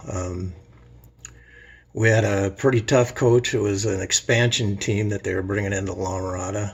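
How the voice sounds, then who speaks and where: Somewhat breathy, a man talks at a moderate pace with fairly even intonation and a fairly low pitch. He has an American accent. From Southern California (Los Angeles area). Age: 60s. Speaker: man telling his life story. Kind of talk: personal storytelling monologue. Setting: self-recorded video. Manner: casual, with many fillers and hesitations.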